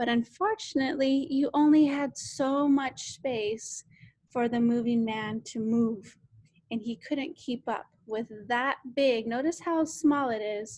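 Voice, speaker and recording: A woman with a high voice speaks at a very slow pace with ordinary pitch variation. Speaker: science teacher. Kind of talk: lecture.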